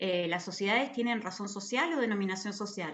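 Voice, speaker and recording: The voice is somewhat breathy and moves at a fairly quick pace. Room echo is audible. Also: woman. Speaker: university lecturer. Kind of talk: lecture.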